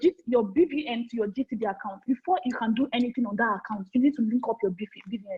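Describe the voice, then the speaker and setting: A woman speaks loudly, her intonation lively. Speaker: forex trading trainer. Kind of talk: online training session. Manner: repetitive.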